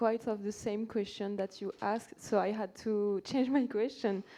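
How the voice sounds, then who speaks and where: A woman with a French accent speaks at a medium pitch in a dark, mellow tone. Her intonation is fairly even, and the background is quiet. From France, Saint-Étienne. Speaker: audience member. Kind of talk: conference Q&A. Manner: halting.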